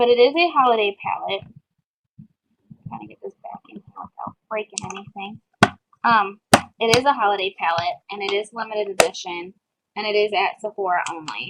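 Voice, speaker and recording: Loud background noise surrounds a woman with a medium-pitched voice and lively intonation. She talks fairly quickly, with long, frequent pauses and big swings in loudness. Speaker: beauty vlogger. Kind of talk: product haul review. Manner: fast; casual, filler-heavy. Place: home room. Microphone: webcam.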